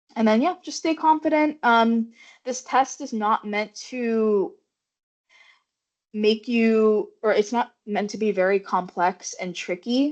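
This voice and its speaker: A woman speaks at a very slow pace in a fairly high pitch with lively intonation. The background is quiet. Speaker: medical student presenter. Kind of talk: informational presentation. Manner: mumbling at times.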